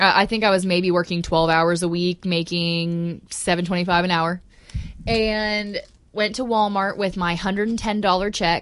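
A woman with a plain, everyday voice talks at a moderate pace. Her pitch is medium and her intonation fairly even. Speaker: podcast co-host. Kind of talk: casual chat.

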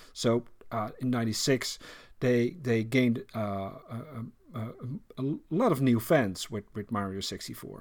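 A man with a Dutch accent speaks at a moderate pace and medium pitch, with ordinary pitch variation and long, frequent pauses. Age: 40s. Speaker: podcast host. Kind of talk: casual chat. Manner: halting.

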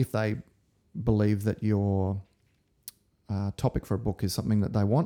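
With an Australian accent, a man with a fairly low voice talks at a moderate pace in fairly even intonation, leaving long, frequent pauses in a dry, close recording with no echo. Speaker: acupuncturist and lecturer. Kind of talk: casual interview chat.

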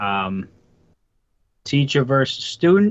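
A man speaks with a Boston accent. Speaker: wrestling podcast co-host and guest. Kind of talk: casual wrestling preview chat.

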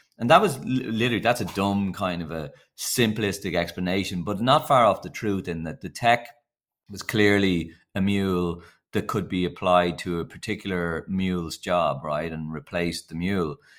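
A man speaks at a moderate pace in a very deep, low voice with ordinary pitch variation. His loudness swings widely. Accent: Dublin. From Ireland. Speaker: company founder and CEO. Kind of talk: casual interview chat. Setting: video call remote.

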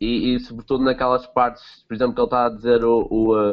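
Speaking fairly quickly, a man keeps his voice at a medium pitch. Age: 20s. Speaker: film podcast co-host. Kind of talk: casual chat.

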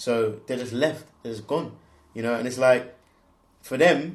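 A man with a London accent talks at a fairly quick pace, with ordinary pitch variation. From southeast London, England. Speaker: co-founder of a swim club. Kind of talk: casual chat.

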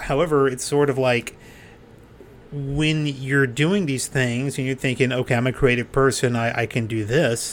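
A man talks with an American accent at a moderate pace. His pitch is medium and his intonation fairly even. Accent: doesn't sound Texan. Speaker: podcast host and comedian. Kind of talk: casual interview chat.

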